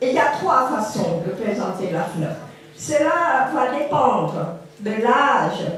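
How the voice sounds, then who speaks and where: A loud, high-pitched woman's voice at a very slow pace, with very wide pitch swings, noticeable background noise and audible room echo. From Cambodia. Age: 70s. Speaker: witness speaking at a school forum. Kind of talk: testimony talk to students. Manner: trying to speak louder without mic.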